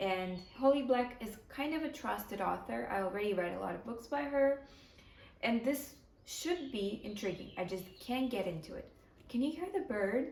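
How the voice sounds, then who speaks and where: Amid noticeable background noise and audible room echo, a woman with a Ukrainian accent speaks at a moderate pace in a fairly high pitch, her voice making very wide pitch swings. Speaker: book vlogger. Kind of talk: casual vlog talk to camera.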